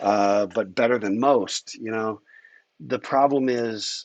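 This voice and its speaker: The voice has ordinary pitch variation, recorded dry and close with no echo against a quiet background. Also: man. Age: 60s. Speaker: university lecturer. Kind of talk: lecture. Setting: livestreamed class. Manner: casual, hesitant with many fillers.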